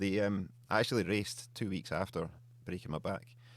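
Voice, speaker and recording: This man has a very deep, low pitch with vocal fry and a slight Scottish accent. He speaks at a fairly quick pace on a very clean recording with a silent background. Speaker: beard oil company co-founder. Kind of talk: podcast interview. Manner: casual.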